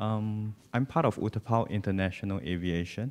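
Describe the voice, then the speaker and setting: Very slow delivery with ordinary pitch variation. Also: man. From Singapore. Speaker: aviation business director. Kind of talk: business presentation.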